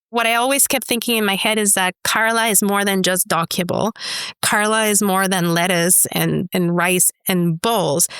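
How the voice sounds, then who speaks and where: On a very clean recording with a silent background, a woman speaks in a Spanish accent at a moderate pace. Her pitch is medium and her loudness very even. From Mexico, Chihuahua. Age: 40s. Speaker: entrepreneur. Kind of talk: interview. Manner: animated.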